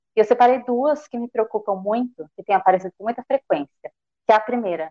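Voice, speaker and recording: A woman with an ordinary speaking voice, fairly high in pitch, fairly quick in pace, with ordinary pitch variation. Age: 20s. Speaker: social sciences student. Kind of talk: live stream discussion.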